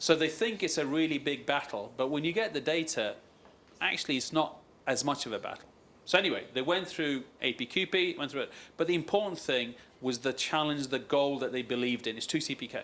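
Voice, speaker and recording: Delivered fairly quickly, the speech carries ordinary pitch variation. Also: man, fairly high pitch for a man. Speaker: aerospace supplier quality executive. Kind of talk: conference panel discussion. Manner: fast.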